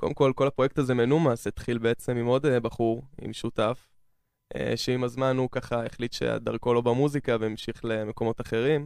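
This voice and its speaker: Against a quiet background, a man speaks at a moderate pace in a medium pitch with monotone, flat intonation. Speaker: trance music producer and DJ. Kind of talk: radio interview. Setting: studio.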